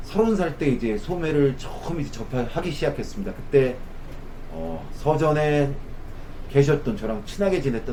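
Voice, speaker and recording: Lively intonation comes through at a moderate pace, with noticeable background noise and audible room echo. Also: man. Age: 50s. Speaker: optician. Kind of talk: tutorial. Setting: sitting at an eye test station.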